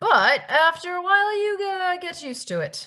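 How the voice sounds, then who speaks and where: A put-on character voice comes through at an extremely high pitch and a moderate pace. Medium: audio drama. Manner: polite, strained.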